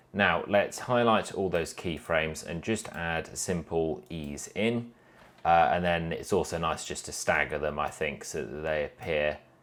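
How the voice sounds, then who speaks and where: With a British accent, a man with a very deep, low pitch speaks at a fairly slow pace on a very clean recording with a silent background. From UK. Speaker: animation tutorial creator. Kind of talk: tutorial. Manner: casual, with fillers.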